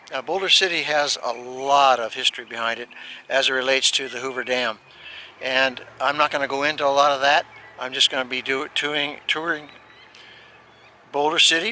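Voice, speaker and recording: Amid noticeable background noise, a man with a fairly high pitch talks at a fairly quick pace and fairly even intonation, breaking often with long pauses. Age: 70s. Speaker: retired RV vlogger. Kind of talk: casual vlog narration. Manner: halting, many fillers.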